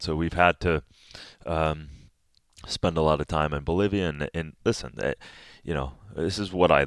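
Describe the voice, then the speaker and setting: A man with an American accent speaks in a very deep, low voice at a moderate pace, with long, frequent pauses. The recording is very clean with a silent background, and the sound is dry and close with no echo. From US Midwest, Minnesota. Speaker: superfood entrepreneur. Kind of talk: casual chat.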